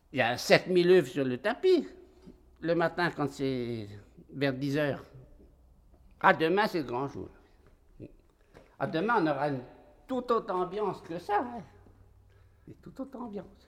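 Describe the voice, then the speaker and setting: His high voice swings very widely in pitch and loudness, at a fairly slow pace. The man leaves long, frequent pauses, and the recording is very clean with a silent background. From rural France. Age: 60s. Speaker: poultry farmer. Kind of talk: casual chat.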